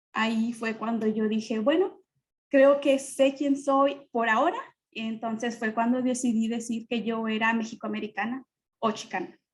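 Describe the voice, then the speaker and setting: A woman talks slowly, though not too slowly, her pitch fairly high and her intonation fairly even. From Mexico. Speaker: panelist. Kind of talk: testimony.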